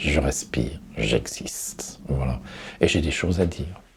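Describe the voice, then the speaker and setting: A man at a fairly slow pace with lively intonation, noticeable background noise behind him. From Paris. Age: 60s. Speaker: person living with Alzheimer's disease. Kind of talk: interview answer. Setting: studio.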